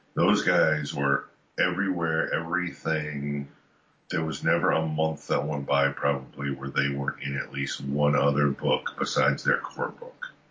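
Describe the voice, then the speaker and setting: Over noticeable background noise, a man with a very deep, low pitch speaks in a monotone, flat intonation at a moderate pace. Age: 40s. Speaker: comic book podcast co-host. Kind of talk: casual chat.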